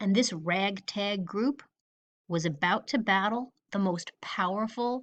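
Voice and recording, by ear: Against a quiet background, a passage is read aloud in a natural voice, its pitch varying in an ordinary way.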